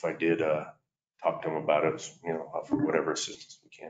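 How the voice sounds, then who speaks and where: A man at a very fast pace, with audible room echo and light background noise. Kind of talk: meeting report. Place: meeting room. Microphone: camera far.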